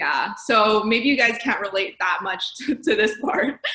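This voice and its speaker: A woman speaks with a French accent. Her pitch is medium and varies in an ordinary way. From Canada, Montreal. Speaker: accountant. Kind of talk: career talk presentation.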